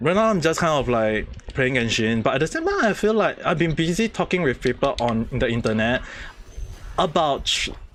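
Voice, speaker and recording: Over noticeable background noise, a man with a fairly high pitch talks at a fairly quick pace, swinging his pitch very widely while keeping his loudness very even. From Southeast Asia, near Malaysia (Singapore or Brunei). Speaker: gaming streamer. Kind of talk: casual live stream chat. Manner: repetitive, halting.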